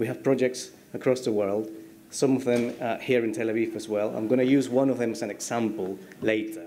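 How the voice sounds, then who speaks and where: Over audible room echo, a man with a Spanish accent and medium pitch speaks in a dark, mellow tone at a fairly quick pace with fairly even intonation. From Peru. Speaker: structural engineer. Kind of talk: conference talk. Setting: stage with audience.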